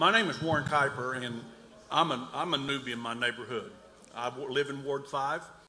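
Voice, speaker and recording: A man talks at a fairly quick pace with a fairly high pitch and ordinary pitch variation. Audible room echo and noticeable background noise are present. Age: 60s. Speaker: resident speaking at town hall. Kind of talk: public comment at town hall. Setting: town hall meeting. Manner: halting.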